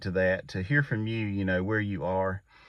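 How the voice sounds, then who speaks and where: A man's fairly low-pitched, a plain, everyday voice, fairly even in intonation, over a quiet background. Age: 40s. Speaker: YouTube creator, father. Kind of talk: casual talk to camera. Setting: inside a pickup truck at night.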